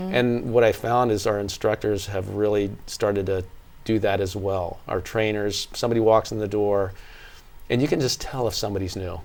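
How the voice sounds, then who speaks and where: The speaker has a plain, everyday voice, fairly even intonation and a moderate pace, on a very clean recording with a silent background. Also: man, fairly low pitch for a man. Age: 60s. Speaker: fitness studio owner. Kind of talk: interview.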